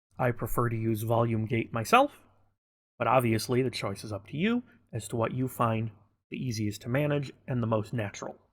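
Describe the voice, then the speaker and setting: A man with a normal speaking voice, medium pitch, fairly even intonation and a fairly quick pace, on a very clean recording with a silent background. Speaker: gaming tutorial creator. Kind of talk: tutorial.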